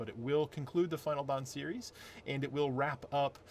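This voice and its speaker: Words pour out of a man at a very fast pace. There is some breathiness in his voice. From US, moved around, born upstate New York. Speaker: author. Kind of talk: casual vlog update. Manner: hesitant, many fillers.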